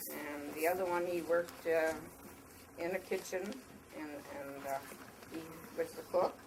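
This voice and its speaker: Over noticeable background noise, a woman with a fairly low pitch speaks with long, frequent pauses. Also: ordinary pitch variation, moderate pace, big swings in loudness. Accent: American. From US Midwest, Somerset, Wisconsin. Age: 80s+. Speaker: elderly local resident. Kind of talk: oral history talk to schoolchildren. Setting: library with audience of children.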